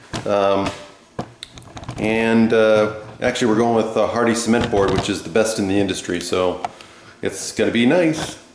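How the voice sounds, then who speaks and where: Through noticeable background noise and audible room echo, a man of medium pitch speaks at a moderate pace with ordinary pitch variation and long, frequent pauses. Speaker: math teacher. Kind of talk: lecture. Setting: detached garage under remodeling. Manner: loud.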